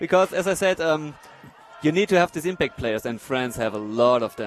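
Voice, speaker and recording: Over noticeable background noise, a man with a German accent speaks with very wide pitch swings. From Germany. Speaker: wheelchair rugby player and expert commentator. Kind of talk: live commentary. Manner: hesitant, many fillers.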